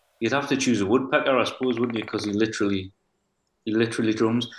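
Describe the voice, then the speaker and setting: This man has a strong Geordie accent and a medium pitch. He talks at a very fast pace with fairly even intonation. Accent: Geordie, thick. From North Shields, Tyneside, north-east England. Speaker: singer-songwriter. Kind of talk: casual interview chat.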